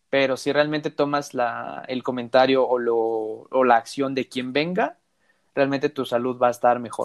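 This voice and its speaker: In an unremarkable speaking voice, a man keeps fairly even intonation at a medium pitch and a moderate speed. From Mexico. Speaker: podcast host. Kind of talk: casual chat.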